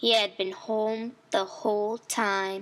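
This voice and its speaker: A female-sounding put-on character voice talks at a very slow pace. The pitch sits fairly high for a woman. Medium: read story. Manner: chatty, defensive.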